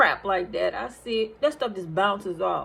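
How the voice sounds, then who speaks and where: Her intonation is lively as the woman keeps to a moderate pace. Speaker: nurse and online minister. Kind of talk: testimony. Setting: recorded on lunch break.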